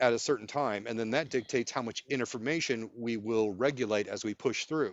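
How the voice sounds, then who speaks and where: A man's plain, everyday voice with ordinary pitch variation. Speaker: nurse and clinical researcher. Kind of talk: interview answer.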